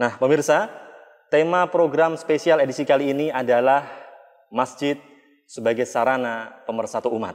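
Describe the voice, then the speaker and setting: Moderate-paced speech from a man, ordinary pitch variation, a quiet background. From Indonesia. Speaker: television program host. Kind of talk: panel discussion. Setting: on location at a mosque. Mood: friendly, smiling.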